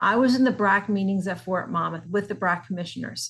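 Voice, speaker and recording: Medium-pitched woman with a New Jersey accent at a fairly quick pace. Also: quiet background. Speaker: nonprofit executive director. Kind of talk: scripted promotional talk.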